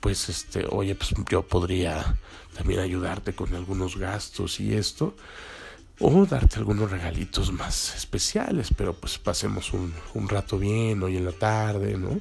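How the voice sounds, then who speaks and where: Fairly slow pace in a Mexican accent. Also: man. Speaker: podcast host. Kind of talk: casual monologue.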